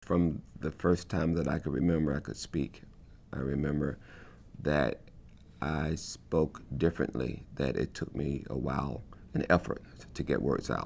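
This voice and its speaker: A man with an American accent, very deep, low pitch, vocal fry, and long, frequent pauses. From US South. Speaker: choreographer. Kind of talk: testimony. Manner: halting, with repetitions.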